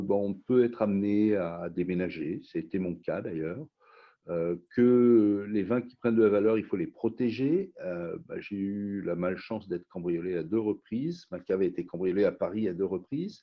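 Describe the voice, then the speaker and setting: A plain, everyday voice from a man, fairly low in pitch, at a fairly slow pace with ordinary pitch variation. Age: 60s. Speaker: wine company founder. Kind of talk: interview.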